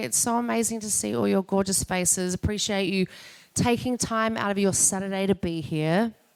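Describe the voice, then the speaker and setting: A woman speaks in an Australian accent at a medium pitch. Her intonation is lively and her pace moderate. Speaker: podcast host and entrepreneur. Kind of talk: event welcome speech. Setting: live event with audience.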